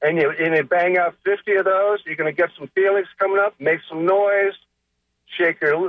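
Moderate pace and ordinary pitch variation from a man with a high-pitched voice. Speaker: caller, breathwork facilitator. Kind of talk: call-in question on radio. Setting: phone call.

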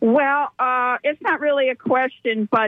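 This woman has a normal speaking voice. She speaks at a fairly slow pace with fairly even intonation. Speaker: radio caller. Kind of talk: call-in comment. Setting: phone call.

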